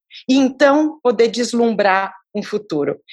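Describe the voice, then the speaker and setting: A woman's fairly high, fairly slow delivery in an ordinary speaking voice, with lively intonation. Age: 50s. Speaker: philanthropist and social entrepreneur. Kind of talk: interview conversation.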